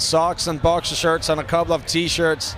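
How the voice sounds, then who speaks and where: A man speaking rather slowly in a fairly high register, over noticeable background noise. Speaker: rock musician. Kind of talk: interview. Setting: backstage at a music festival. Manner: hesitant, many fillers.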